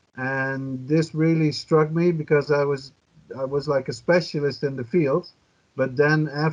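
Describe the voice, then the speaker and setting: Here a man speaks in a Dutch accent. His pitch is fairly high and his intonation fairly even. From Netherlands. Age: 50s. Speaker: journalist and cannabis activist. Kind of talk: podcast interview.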